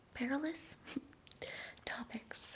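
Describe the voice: A woman whispers at a very slow pace.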